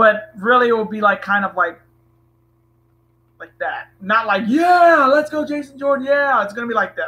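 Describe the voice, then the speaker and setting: With a raised, projected voice at an extremely high pitch, a man speaks at a moderate pace in a bright, sharp tone, his intonation lively, his loudness swinging widely, and his pauses long and frequent. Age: 20s. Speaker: wrestling streamer. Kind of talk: live stream chat. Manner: casual, hesitant.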